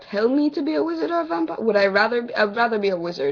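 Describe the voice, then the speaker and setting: A fairly high-pitched woman at a fairly quick pace, her pitch swinging very widely, over noticeable background noise. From Jamaica, partly raised in the US. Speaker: vlogger. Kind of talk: casual vlog Q&A.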